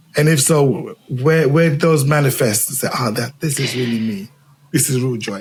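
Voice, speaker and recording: With a Zimbabwean accent, a man speaks at a moderate pace and a fairly high pitch, his intonation lively. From England, raised from age four after leaving Zimbabwe. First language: Shona. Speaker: podcast host. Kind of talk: interview conversation. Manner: halting, repetitive.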